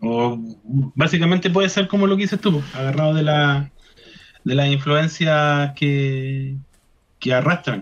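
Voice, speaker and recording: Speaking at a fairly slow pace with long, frequent pauses, a man with a fairly high, somewhat breathy voice keeps his loudness very even and his pitch variation ordinary. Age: 30s. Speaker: rock guitarist and chemistry teacher. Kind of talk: radio interview. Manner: halting, many repetitions.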